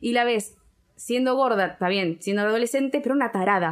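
At a fairly quick pace, a woman with a fairly high pitch speaks with ordinary pitch variation. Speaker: podcast co-host. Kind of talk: casual chat.

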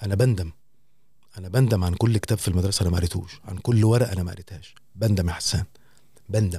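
With an Egyptian accent, a man speaks very fast in a very deep, low, somewhat breathy voice with a dark, mellow tone, fairly even intonation, big swings in loudness and long, frequent pauses. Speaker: radio host. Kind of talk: casual chat.

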